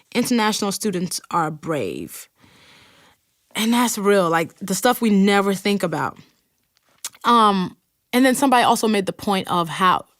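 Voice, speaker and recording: A woman's medium-pitched voice with an American accent, moderate pace, long and frequent pauses, ordinary pitch variation, and a very clean recording over a silent background. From Nigeria. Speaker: podcast host. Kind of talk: podcast monologue with listener messages read aloud. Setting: recording studio. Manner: casual, conversational.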